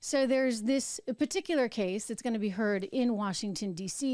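A woman's dark, mellow tone with ordinary pitch variation, dry sound with no echo, and a quiet background. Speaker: show host. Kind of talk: political commentary. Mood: skeptical, argumentative. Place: studio. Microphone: studio mic.

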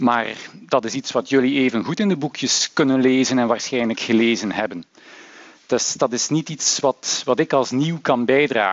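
Ordinary pitch variation from a man, delivered at a moderate pace. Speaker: university lecturer. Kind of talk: lecture. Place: hall. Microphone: headset.

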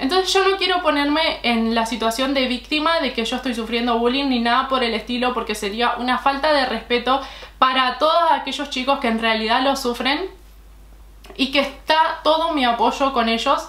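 A woman talks at a moderate pace in a high pitch with ordinary pitch variation. Audible room echo and noticeable background noise surround her. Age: 20s. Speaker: beauty YouTuber. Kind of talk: vlog monologue. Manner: halting.

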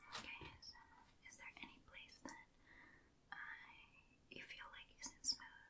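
A woman whispers in a calm, gentle tone at a fairly slow pace. Long, frequent pauses break up her speech. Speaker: ASMR artist. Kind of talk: ASMR role-play, makeup application. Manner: soft-spoken, calm, gentle. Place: home room. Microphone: earbuds.

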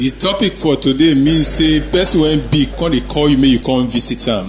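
Music plays in the background as a man speaks at a moderate pace. His loudness stays very even. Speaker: sermon interpreter. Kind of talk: live interpretation into pidgin.

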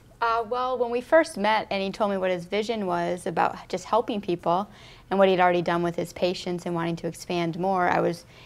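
A woman speaks at a fairly quick pace in an unremarkable speaking voice. Her pitch is fairly low, with ordinary variation. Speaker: interview guest. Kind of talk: interview. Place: studio.

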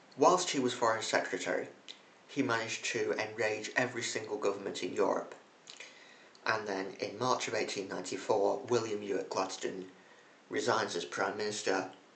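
The speech moves at a moderate pace. Light background noise and audible room echo can be heard. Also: man. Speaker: history video host. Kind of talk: casual history commentary. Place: home room. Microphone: phone near.

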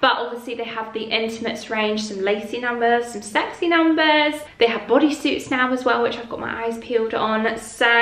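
Fairly quick speech with ordinary pitch variation, hardly any pauses and audible room echo. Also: woman. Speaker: lifestyle vlogger. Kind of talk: sponsor read in casual vlog chat. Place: home room.

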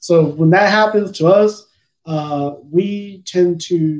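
A man's voice with ordinary pitch variation against a quiet background. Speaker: fishing channel host. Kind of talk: live Q&A answer. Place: home room. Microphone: webcam.

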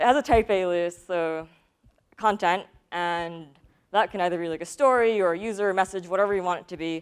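Ordinary pitch variation in a woman's voice, the background quiet. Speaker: conference speaker. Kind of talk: technical talk. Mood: light, good-humored. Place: stage. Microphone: lapel.

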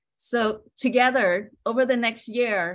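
A woman with a Southeast Asian accent speaks with fairly even intonation. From Hmong refugee family, grew up in US. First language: Hmong. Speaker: state service program director. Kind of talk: prepared speech; welcome address. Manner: halting. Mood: warm, encouraging. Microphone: video call.

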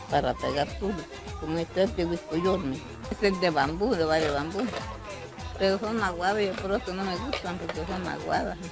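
A woman speaks over clear music in the background, in a dry sound with no echo. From El Salvador, Morazán. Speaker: traditional mat weaver (petate maker). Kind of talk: interview answer. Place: home room. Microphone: handheld.

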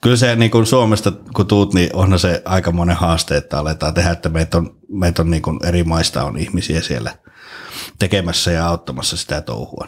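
Showing vocal fry, a man with a very deep, low pitch speaks at a moderate pace with ordinary pitch variation. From Finland. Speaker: podcast host and actor; podcast guest. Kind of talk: casual chat. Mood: relaxed, jokey. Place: studio. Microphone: studio mic.

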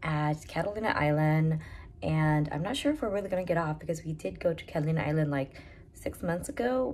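A woman talks at a fairly quick pace in a very deep, low pitch. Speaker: travel vlogger. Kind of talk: casual vlog chat. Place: home room. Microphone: phone near.

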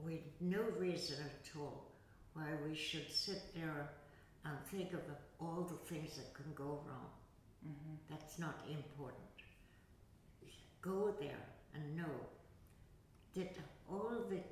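Amid light background noise and audible room echo, a woman speaks at a very slow pace with ordinary pitch variation and long, frequent pauses. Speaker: yoga teacher. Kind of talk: interview answer. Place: hall.

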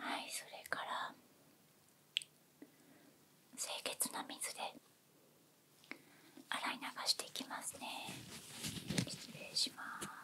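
A soft-spoken woman whispers in a gentle tone at a very slow pace, with long, frequent pauses. Light background noise can be heard. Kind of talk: soft-spoken role-play to viewer. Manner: soft close whisper, gentle clinical tone.

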